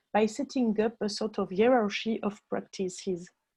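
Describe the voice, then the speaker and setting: A woman with a French accent speaks at a moderate pace in a fairly high pitch, somewhat breathy, with a dark, mellow tone and fairly even intonation. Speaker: music education researcher. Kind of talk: conference presentation. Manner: halting.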